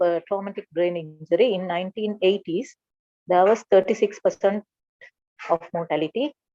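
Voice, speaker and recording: She has an unremarkable speaking voice, pitched in the middle range. Her pace is moderate and her pitch varies in an ordinary way. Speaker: doctor lecturer. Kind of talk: lecture.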